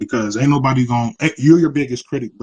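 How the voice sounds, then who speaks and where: Recorded with a dry, close sound and no echo, a man talks in a fairly even intonation. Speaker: rapper. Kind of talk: interview. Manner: casual.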